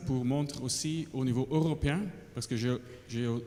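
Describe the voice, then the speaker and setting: A man speaks at a moderate pace with a non-native accent, his pitch medium with ordinary variation. Noticeable background noise runs under the recording. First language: not French (speaking French). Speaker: international conservation director. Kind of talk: audience question at conference. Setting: conference hall with roaming mics. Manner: halting.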